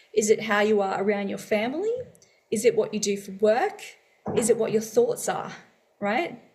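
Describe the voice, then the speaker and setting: An Australian-accented woman at a moderate pace, with long, frequent pauses. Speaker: podcast co-host. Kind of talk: casual chat.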